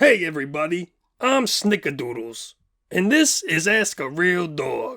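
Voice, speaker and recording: A man does a put-on character voice pitched high. His pace is moderate. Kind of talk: comedy question-and-answer sketch.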